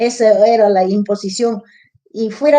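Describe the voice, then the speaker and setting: This woman's voice sits fairly high in pitch. Her tone is dark and mellow. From Apurímac, Peru. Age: 70s. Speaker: retired rural schoolteacher and former school director. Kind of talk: interview answer.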